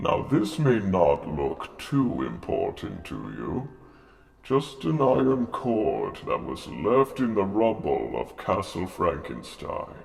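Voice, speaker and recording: A man puts on a theatrical character voice at a medium pitch, speaking at a fairly slow pace. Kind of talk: spooky show host address to camera. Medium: role play. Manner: theatrical, ominous.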